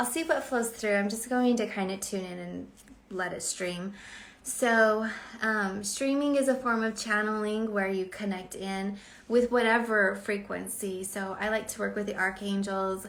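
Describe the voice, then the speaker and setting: There is audible room echo around a woman speaking at a medium pitch. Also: ordinary pitch variation. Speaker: spiritual channeler and author. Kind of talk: live stream intuitive reading. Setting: live stream. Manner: quiet and slow normally.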